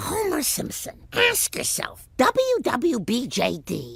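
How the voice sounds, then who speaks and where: A high-pitched, cartoonish character voice at a very slow pace. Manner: gentle, disapproving.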